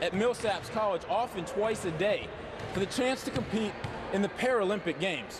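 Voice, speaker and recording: Noticeable background noise behind a high-pitched man talking at a moderate pace. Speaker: sports anchor and reporter. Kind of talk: human-interest feature voiceover. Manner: measured, warm storytelling.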